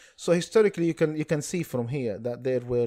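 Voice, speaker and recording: Speaking very fast with an Arabic accent, a man with a dark, mellow tone and lively intonation is heard in a dry, close recording with no echo, very clean against a silent background. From Palestine (Ramallah, West Bank). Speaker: public speaker on Palestine. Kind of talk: casual chat.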